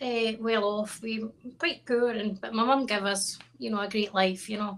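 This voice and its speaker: A fairly high-pitched woman's voice with a Scottish accent. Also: fairly even intonation, moderate pace. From Scotland, Stirling. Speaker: country singer-songwriter. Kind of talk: interview.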